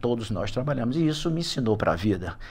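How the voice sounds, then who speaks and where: A man with ordinary pitch variation. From Salvador, Bahia, Brazil. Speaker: retired HR executive and business advisor. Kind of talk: podcast interview.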